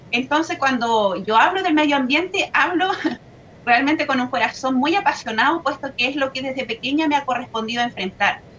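Lively intonation carries the voice over noticeable background noise. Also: woman, high pitch for a woman, fairly quick pace. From Chile, Biobío region (Laja). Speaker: local environmental activist. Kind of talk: online panel discussion.

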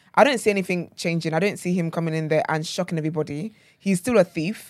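A woman talks in an energetic tone with a London accent. The recording is very clean, with a silent background. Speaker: lead podcast host. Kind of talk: casual chat. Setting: studio. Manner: energetic, laughs often.

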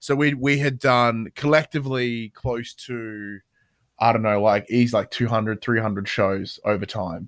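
A fairly slow voice in an Australian accent with ordinary pitch variation, dry and close with no echo, in a very clean recording with a silent background. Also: man, medium pitch for a man. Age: 30s. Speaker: podcast host and games journalist. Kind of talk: casual chat.

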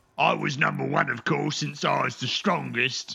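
Using a put-on character voice, a man speaks raspily at a medium pitch and a moderate pace. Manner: simple, slow, gluttonous.

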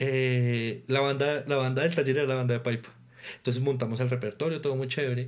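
Here a man speaks at a medium pitch and a fairly quick pace. His intonation is monotone and flat. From Colombia, Tolima and Boyacá. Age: 20s. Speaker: orchestra conductor and percussionist. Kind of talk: interview.

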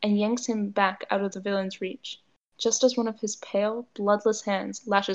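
With fairly even intonation, the reader keeps to an unforced reading voice.

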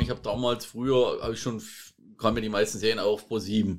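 The recording is very clean, with a silent background. A man talks at a moderate pace and a medium pitch. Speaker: podcast co-host. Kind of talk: casual chat. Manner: quiet.

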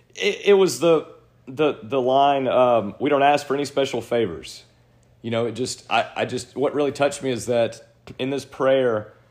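A man speaks at a medium pitch with ordinary pitch variation. He has an ordinary speaking voice. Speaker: podcast host. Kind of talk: fervent prayer reading aloud; casual conversational storytelling. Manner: solemn, earnest, reverent delivery.

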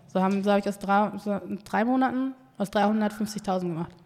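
A woman with an unremarkable speaking voice talks at a fairly slow pace. Her medium pitch carries fairly even intonation. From Essen, Germany (born in Ghana, moved at age 4). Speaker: entrepreneur and agency founder. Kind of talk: casual interview chat.

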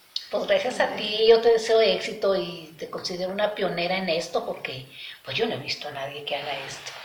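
Delivered at a fairly quick pace with lively intonation, the voice shows big swings in loudness amid audible room echo and noticeable background noise. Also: woman, medium pitch for a woman. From Mexico, Aguascalientes. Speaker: visual artist. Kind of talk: interview. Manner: halting, with repetitions.

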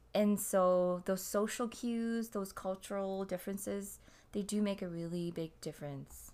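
A woman's plain, everyday voice at medium pitch, fairly slow and fairly even in intonation, on a very clean recording with a silent background. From Canada. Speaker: podcast co-host. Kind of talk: casual chat.

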